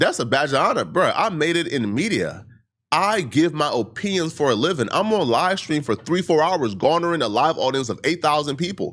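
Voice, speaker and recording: On a very clean recording with a silent background, a man with fairly high pitch and vocal fry talks at a fairly quick pace, with lively intonation and very even loudness. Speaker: online commentator, live streamer. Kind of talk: video commentary response.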